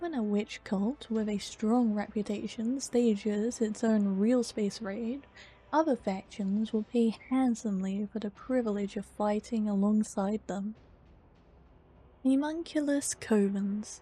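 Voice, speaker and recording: Speaking at a fairly slow pace in a calm tone, a woman has a dark, mellow, somewhat breathy voice, a fairly high pitch and ordinary pitch variation. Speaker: ASMR content creator reading lore aloud. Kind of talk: ASMR lore reading, sleep narration. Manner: soft, calm, relaxing.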